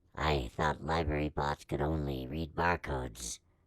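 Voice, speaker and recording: A man's raspy, very deep, low put-on character voice at a moderate pace. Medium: audio drama. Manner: earnest, formal, literal.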